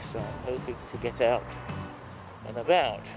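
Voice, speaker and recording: A man at medium pitch speaks with music in the background. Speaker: motorcycle vlogger. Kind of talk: casual motovlog talk while riding. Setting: outdoors, helmet microphone on motorcycle.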